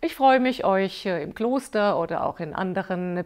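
A woman's voice with ordinary pitch variation. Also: quiet background. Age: 50s. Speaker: yoga teacher. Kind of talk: course promotion video; course presentation to camera. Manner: hesitant, many filler sounds. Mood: warm, friendly. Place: home room. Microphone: lapel.

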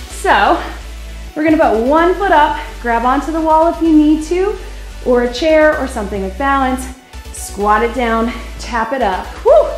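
At a moderate pace, the speech carries audible room echo, with faint music in the background. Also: woman. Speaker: fitness instructor. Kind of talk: workout instruction. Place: gym.

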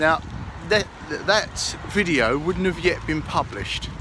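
A man talks at a very slow pace in a dry sound with no echo, with noticeable background noise behind him. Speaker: travel vlogger. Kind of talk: casual vlog chat. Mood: jokey, cheerful. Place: street. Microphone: phone near.

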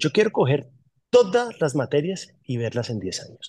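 Male speech, moderate in pace. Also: quiet background. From Colombia, Caribbean coast (Barranquilla-born, raised Bogotá); Colombia. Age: 40s. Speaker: publishing company manager. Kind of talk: interview. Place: office. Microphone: phone near.

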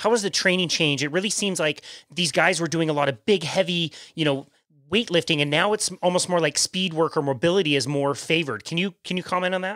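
Bright and sharp, a man's high-pitched voice races at a very fast pace in an enthusiastic tone with ordinary pitch variation. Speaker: podcast host. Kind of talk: casual interview.

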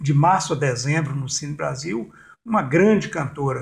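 The speaker is a man with vocal fry. His intonation is lively. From Brazil, Jequitinhonha Valley, Minas Gerais. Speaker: cultural producer and storyteller. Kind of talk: interview.

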